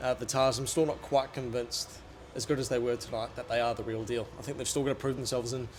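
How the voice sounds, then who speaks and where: Over noticeable background noise, a man with a New Zealand accent talks at a very fast pace in a medium pitch. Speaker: rugby journalist. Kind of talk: casual chat. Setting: stadium media box. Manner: soft-spoken. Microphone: small handheld mic, held far.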